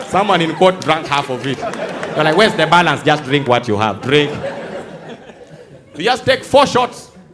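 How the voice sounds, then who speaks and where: Over noticeable background noise, a man with a fairly high voice speaks in an animated tone at a moderate pace. His pitch swings very widely and he takes long, frequent pauses. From Uganda. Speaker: stand-up comedian. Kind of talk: live stand-up comedy to a theatre audience. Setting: live theatre with audience. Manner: animated, storytelling.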